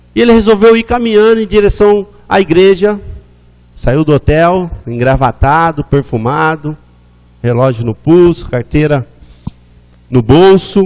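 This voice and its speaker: Speaking at a fairly slow pace, a man uses a high pitch that swings very widely. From Brazil, interior of São Paulo state (Araraquara). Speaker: missionary, former drug addict. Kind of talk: testimony. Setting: church service.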